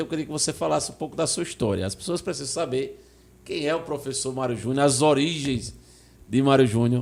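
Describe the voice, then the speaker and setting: A fairly high-pitched man rushes along at a very fast pace, his intonation lively and his loudness swinging widely. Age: older than 40. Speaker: podcast host. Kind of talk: podcast interview.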